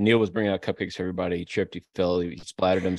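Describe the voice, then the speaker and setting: The background is quiet. A man speaks very fast. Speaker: podcast co-host. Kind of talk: comedic debate, casual chat.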